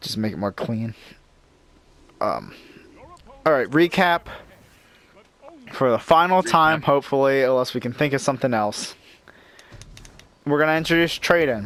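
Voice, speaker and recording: With long, frequent pauses and noticeable background noise behind him, a man speaks at a moderate pace in a fairly high pitch. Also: ordinary pitch variation. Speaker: gaming youtuber. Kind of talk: casual chat. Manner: stuttering.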